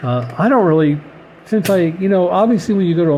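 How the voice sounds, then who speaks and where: There is noticeable background noise. The voice has ordinary pitch variation. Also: man. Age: 60s. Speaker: scale model car hobbyist vlogger. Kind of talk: casual monologue. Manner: halting, many fillers and repeats.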